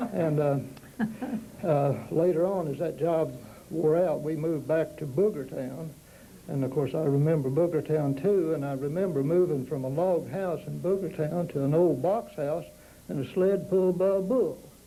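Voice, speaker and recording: In a Southern Appalachian accent, a man with a fairly high pitch speaks amid audible room echo. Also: ordinary pitch variation, moderate pace. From East Tennessee, Smoky Mountains. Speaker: panelist recalling local history. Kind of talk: oral history storytelling.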